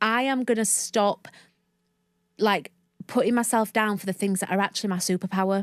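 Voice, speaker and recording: With a broad Northern English accent, a woman of medium pitch speaks in an animated tone at a fairly quick pace, with long, frequent pauses, in a dry, close sound with no echo on a very clean recording with a silent background. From northern England, Leeds. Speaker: mindset coach and podcast host. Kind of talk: interview.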